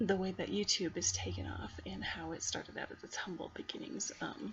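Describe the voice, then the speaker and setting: Someone whispers at a fairly quick pace. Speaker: college student. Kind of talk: class video reflection. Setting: at home at night. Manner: quiet.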